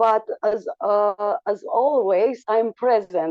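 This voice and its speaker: A woman with a Romanian accent at a very slow pace, with ordinary pitch variation. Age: 40s. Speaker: school teacher and coach. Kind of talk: online talk. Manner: slow, halting.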